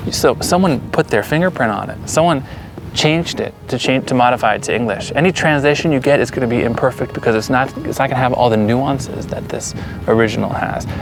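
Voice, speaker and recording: Over music in the background, a man with an American accent talks at a very fast pace, using a medium pitch and ordinary pitch variation. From US, Pennsylvania (Allentown). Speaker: settler interviewee. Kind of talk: interview. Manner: halting.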